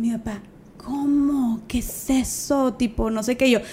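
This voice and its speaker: With noticeable background noise behind her, a woman keeps a fairly even intonation. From Mexico, Monterrey. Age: 20s. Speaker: social media activist and speaker. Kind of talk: casual chat.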